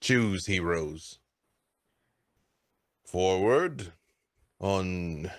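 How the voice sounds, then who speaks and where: A man puts on a character voice, very deep and low, speaking very slowly over a very clean recording with a silent background. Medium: actual play. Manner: slow, grave, formal.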